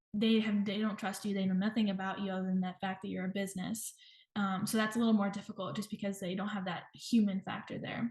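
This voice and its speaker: Very fast, somewhat breathy speech from a woman with a medium pitch, monotone, flat intonation and an American accent. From US South, Georgia. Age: 20s. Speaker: nutrition professional in private practice. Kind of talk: interview.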